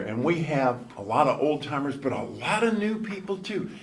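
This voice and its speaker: A man's pitch swings very widely. Noticeable background noise and audible room echo surround him. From northern US. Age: 70s. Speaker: former TV news anchor, recovering alcoholic. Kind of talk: recovery speaker talk. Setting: convention stage with audience. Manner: conversational.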